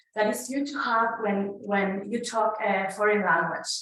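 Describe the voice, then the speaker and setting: Clear background noise and audible room echo surround a woman who talks fairly slowly. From Mexico. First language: Spanish. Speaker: conference speaker sharing migrant experience. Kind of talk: conference talk. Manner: halting with fillers.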